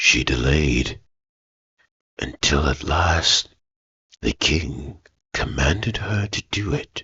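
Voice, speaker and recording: A man puts on a character voice with a very deep, low pitch. He talks at a very slow pace with long, frequent pauses. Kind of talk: ASMR bedtime story. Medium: read story. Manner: soft-spoken, slow, soothing.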